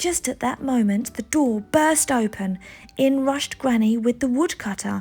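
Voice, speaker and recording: A woman with an English accent speaks at a high pitch and a moderate pace. Her pitch varies in an ordinary way. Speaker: parent reading to children. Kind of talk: children's picture book read-aloud.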